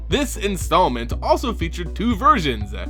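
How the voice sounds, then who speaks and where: Music in the background behind a man's moderate-paced speech. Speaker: voice-over narrator. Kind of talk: trivia narration.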